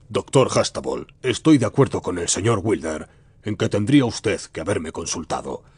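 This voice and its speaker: A put-on character voice sounds resonant, with lively intonation. It moves at a moderate pace. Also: man. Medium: audio drama. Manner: formal, commanding.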